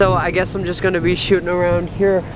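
Over clear background noise, a man speaks fast in a high pitch with little pitch movement.

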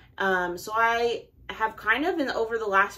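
This woman talks at a fairly slow pace in a bright, sharp tone, with ordinary pitch variation. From Oregon, Portland area. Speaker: knitting YouTuber. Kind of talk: casual vlog haul. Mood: cheerful, enthusiastic. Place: home room.

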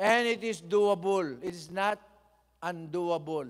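A man speaks very slowly at a high pitch with ordinary pitch variation over a quiet background. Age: 70s. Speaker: bishop and preacher; bishop, preacher. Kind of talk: sermon. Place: church. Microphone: podium.

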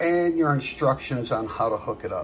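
A man speaks at a moderate speed, with light noise in the background. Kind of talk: tutorial. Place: garage. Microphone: phone near.

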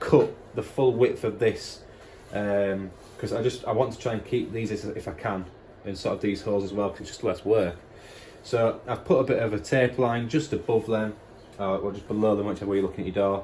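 A man speaks at a fairly quick pace with a fairly low pitch and a dark, mellow, somewhat breathy tone. His intonation is fairly even, with light background noise. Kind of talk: tutorial. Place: garage. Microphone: phone near.

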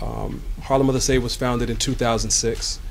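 A man speaks at a medium pitch and a moderate pace. His pitch moves very little.

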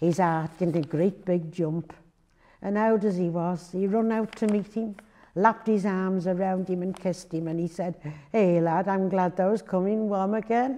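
Here is a woman with a North Wales accent. Her tone is dark and mellow, and her intonation is fairly even. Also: moderate pace. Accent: North Wales, Buckley dialect. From Buckley, Flintshire, North Wales. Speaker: dialect reader. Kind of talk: dialect story reading.

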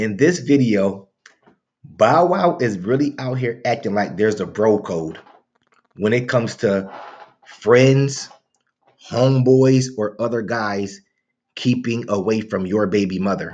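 Speaking at a fairly slow pace with long, frequent pauses, a man keeps ordinary pitch variation. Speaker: reaction channel host. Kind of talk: casual commentary. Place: home room. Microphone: webcam.

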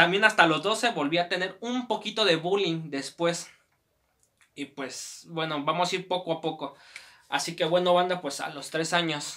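A man at a moderate pace, high-pitched, with a Mexican accent. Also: ordinary pitch variation. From Mexico. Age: 20s. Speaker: YouTuber. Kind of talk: personal life story. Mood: reflective, personal. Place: home room.

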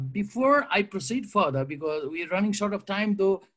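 This man speaks with a Nepali accent. His pitch swings very widely. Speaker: panel moderator. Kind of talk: panel discussion moderation. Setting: video call.

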